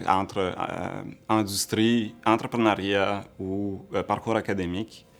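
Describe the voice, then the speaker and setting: A man's fairly low voice is heard over background music. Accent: Italian. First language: Italian (speaking French). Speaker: entrepreneur and researcher. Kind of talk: interview answers. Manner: hesitant, many fillers.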